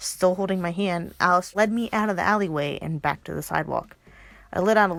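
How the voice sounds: The reading voice is natural. Its pitch varies in an ordinary way.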